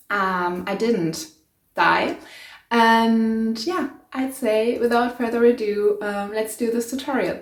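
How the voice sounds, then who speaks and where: Speaking very slowly with a German accent, a woman uses a fairly high pitch and ordinary pitch variation. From Germany. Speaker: sewing YouTuber. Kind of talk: DIY tutorial vlog. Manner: casual, hesitant with many fillers.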